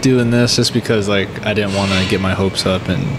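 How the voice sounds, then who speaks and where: A man talks fairly quickly with fairly even intonation while noticeable noise carries on behind him. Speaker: podcast guest. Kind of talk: interview answer. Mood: relaxed, laughing at times. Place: cafe. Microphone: studio mic.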